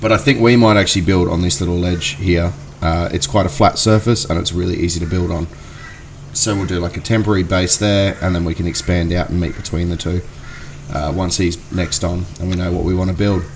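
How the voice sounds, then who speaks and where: A man with an Australian accent talks fairly quickly in a very deep, low pitch and fairly even intonation. Noticeable background noise can be heard. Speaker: gaming youtuber. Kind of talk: gameplay commentary. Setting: at home. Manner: halting, many fillers.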